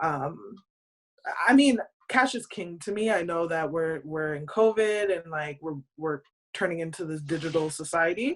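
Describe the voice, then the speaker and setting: A plain, everyday voice with a Canadian accent moves at a moderate pace with lively intonation. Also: woman. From Canada. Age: 30s. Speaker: podcast co-host. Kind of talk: casual chat.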